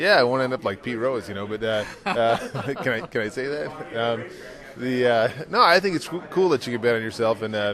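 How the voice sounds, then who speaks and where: A man with a slight Minnesota accent, medium pitch and lively intonation, over noticeable background noise. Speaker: drag racing driver. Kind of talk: casual interview. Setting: hotel. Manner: halting, many fillers.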